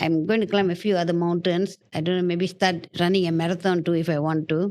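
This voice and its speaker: The speaker has a plain, everyday voice and moves at a fairly quick pace. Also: woman. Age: 60s. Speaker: podcast guest. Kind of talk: casual chat.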